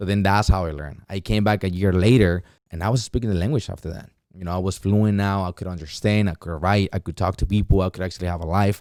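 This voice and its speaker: A man's very deep, low voice in a Mexican accent, very fast, with fairly even intonation, on a very clean recording with a silent background. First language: Spanish. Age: 20s. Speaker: entrepreneur and former teacher. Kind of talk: podcast interview. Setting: studio.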